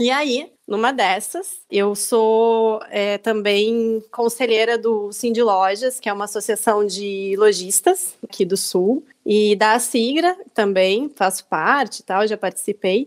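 At a very slow pace and with hardly any pauses, a woman speaks at a fairly high pitch with ordinary variation. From Rio Grande do Sul, Brazil (small town near Gravataí). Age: 30s. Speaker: small business owner and civic volunteer. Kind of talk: podcast interview.

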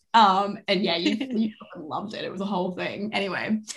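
A woman with an Australian accent, medium pitch and a bright, sharp tone, ordinary pitch variation and a moderate pace. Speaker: podcast guest, fan. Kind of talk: casual chat.

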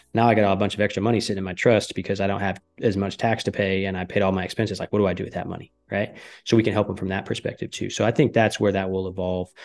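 Against a quiet background, a man talks very fast. His intonation is flat and monotone. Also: fairly low pitch for a man. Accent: American. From US Midwest, northern Michigan. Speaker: business owner and tax consultant. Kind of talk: podcast interview. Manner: casual, filler-heavy.

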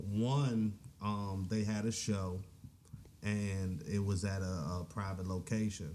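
A man with an American accent, a fairly low pitch, a dark, mellow tone, a very slow pace, fairly even intonation, very even loudness and audible room echo. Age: young. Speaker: rapper. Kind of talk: casual interview chat.

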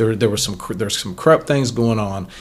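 A man speaks with an American accent. His voice is somewhat breathy, with lively intonation. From Ohio. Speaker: podcast host. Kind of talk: casual interview. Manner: halting.

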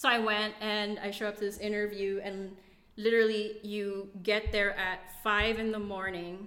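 A speaker with a Philippine accent talks at a moderate pace in a bright, sharp tone with monotone, flat intonation. Audible room echo surrounds the voice. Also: woman, medium pitch for a woman. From Philippines, Davao (Mindanao). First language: Bisaya. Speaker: immigrant guest. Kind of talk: casual chat.

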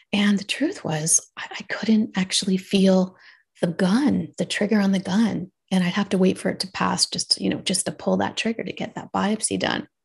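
Medium-pitched woman with vocal fry, moderate pace, fairly even intonation, quiet background. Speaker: radiologist and wellness coach. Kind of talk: casual interview.

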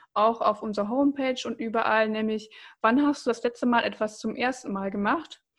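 The clip has a normal speaking voice at a moderate pace. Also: woman, quiet background. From Germany, Bocholt (Münsterland). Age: 20s. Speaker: startup founder. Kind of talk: casual interview.

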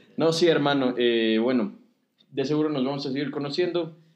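An ordinary speaking voice from a man, moderately paced, with ordinary pitch variation. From Ecuador. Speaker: podcast host. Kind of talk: casual chat.

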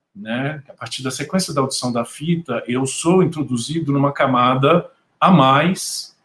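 A man speaks at a moderate pace in an ordinary speaking voice, with ordinary pitch variation. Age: 50s. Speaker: film critic. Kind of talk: panel discussion. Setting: video call.

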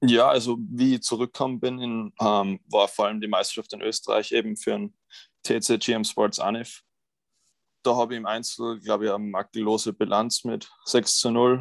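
A man talks at a moderate pace in a plain, everyday voice, medium in pitch with fairly even intonation. The sound is dry and close with no echo, over a quiet background. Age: 20s. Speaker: college tennis player. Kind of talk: interview.

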